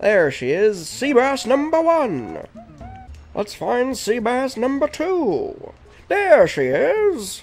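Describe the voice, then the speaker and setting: A man's put-on character voice, extremely high in pitch, raised and projected, with very wide pitch swings, a very slow pace and faint music in the background. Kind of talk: old-time radio announcer.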